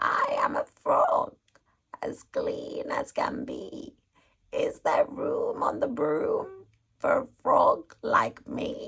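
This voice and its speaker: A put-on character voice, croaky throughout, speaks at a very slow pace. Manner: cheerful, rhyming.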